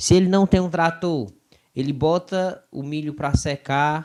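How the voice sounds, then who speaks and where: At a fairly slow pace, the speaker talks in a Cearense accent on a very clean recording with a silent background. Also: man. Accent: Cearense Brazilian Portuguese. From Ceará, northeastern Brazil. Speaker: Bible study podcast co-host. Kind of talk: casual Bible discussion.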